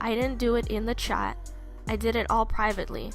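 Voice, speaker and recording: A woman's voice over music in the background. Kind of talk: casual rant to camera. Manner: upset, emphatic.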